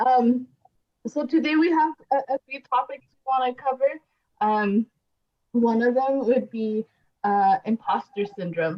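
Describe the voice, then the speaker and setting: A woman with a high pitch speaks at a fairly slow pace, with ordinary pitch variation. Her delivery has long, frequent pauses and big swings in loudness. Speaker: podcast host, college support program staff. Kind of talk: podcast discussion. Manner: halting, many fillers.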